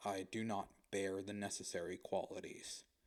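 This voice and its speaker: This robotic male voice sits fairly low in pitch and keeps a flat, monotone intonation. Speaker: video essayist. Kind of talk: introspective monologue. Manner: monotone, robotic cadence; formal.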